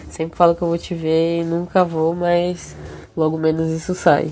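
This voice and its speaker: Her pitch sits fairly low. The woman talks at a fairly slow pace. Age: 20s. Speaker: bassist and singer. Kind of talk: casual interview chat.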